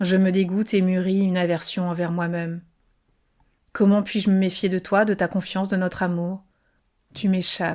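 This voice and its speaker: A woman speaks softly in a monotone, flat intonation. The recording is very clean, with a silent background. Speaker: podcast author and narrator. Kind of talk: fiction audiobook reading, serialized novel. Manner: soft, intimate, murmured.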